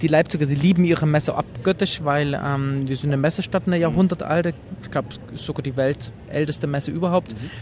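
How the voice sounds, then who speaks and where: Somewhat breathy and fairly high-pitched, a man speaks at a very fast pace. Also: ordinary pitch variation. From eastern Germany, Leipzig. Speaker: journalist and retro game exhibitor. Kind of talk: interview. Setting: trade fair.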